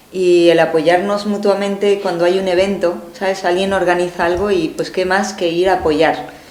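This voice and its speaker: There is noticeable background noise and audible room echo as a woman with a medium pitch talks at a moderate pace in a monotone, flat intonation, with hardly any pauses. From Mexico. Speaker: pastor. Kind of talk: interview.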